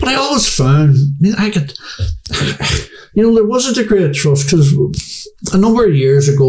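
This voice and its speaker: A man's dark, mellow, somewhat breathy voice with lively intonation, in a Belfast accent. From Northern Ireland, Belfast. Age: 60s. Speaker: former paramilitary; interviewee. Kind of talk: interview. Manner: halting. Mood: calm, candid storytelling. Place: home room. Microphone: studio mic.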